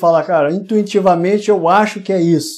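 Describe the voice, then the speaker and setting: With a plain, everyday voice and ordinary pitch variation, this man keeps a moderate pace. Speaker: web show host, business interviewer. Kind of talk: live interview. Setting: live video broadcast.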